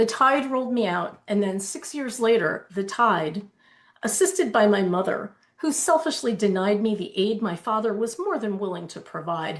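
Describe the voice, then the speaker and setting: At a moderate pace, a woman with a fairly high pitch sounds somewhat breathy, her intonation lively. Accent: American. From New Jersey, Keyport (Jersey Shore). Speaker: novelist. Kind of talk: reading aloud.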